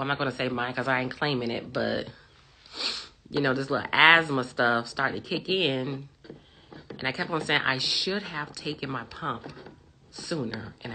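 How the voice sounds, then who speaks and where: A man speaks in a put-on character voice, raspy and hoarse, at a medium pitch. His pace is moderate over light background noise. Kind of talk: casual vlog chat. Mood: personal, anecdotal.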